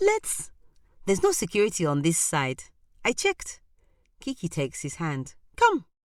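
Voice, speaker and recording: Dry, close sound with no echo, a moderate pace and long, frequent pauses. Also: woman. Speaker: voice actor. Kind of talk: short story reading.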